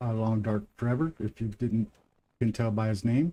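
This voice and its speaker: Fairly even in intonation, a man with a Midwestern accent speaks in a dark, mellow tone. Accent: Midwestern twang. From US Midwest. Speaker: gaming streamer. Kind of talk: live gameplay commentary. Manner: casual, conversational.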